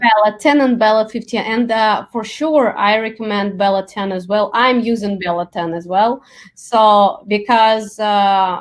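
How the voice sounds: Someone with a Russian accent speaks at a fairly slow pace with ordinary pitch variation and hardly any pauses. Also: woman, fairly high pitch for a woman.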